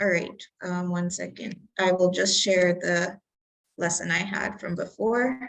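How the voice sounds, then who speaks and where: At a fairly slow pace, a woman with an ordinary speaking voice talks at a medium pitch with fairly even intonation. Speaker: community tech instructor. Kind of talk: online workshop presentation.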